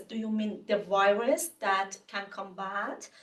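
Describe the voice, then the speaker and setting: This is a woman with an Iranian accent. Her pitch is medium. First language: Farsi. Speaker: researcher presenting a talk. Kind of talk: Q&A after lecture. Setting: webinar. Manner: halting, many fillers.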